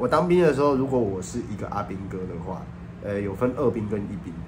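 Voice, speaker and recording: With audible room echo and noticeable background noise, a man with a fairly low pitch speaks at a fairly quick pace. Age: 30s. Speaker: YouTuber. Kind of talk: casual vlog monologue.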